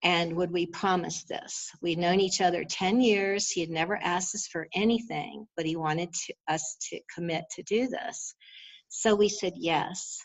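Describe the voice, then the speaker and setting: A woman's fairly low voice, an ordinary speaking voice, at a fairly slow pace with ordinary pitch variation. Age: 60s. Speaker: astrologer. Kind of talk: interview.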